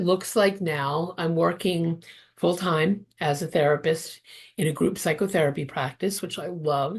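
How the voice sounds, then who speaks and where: A somewhat breathy woman's voice with ordinary pitch variation at a fairly slow pace. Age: 60s. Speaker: therapist and interfaith minister. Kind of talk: interview testimony.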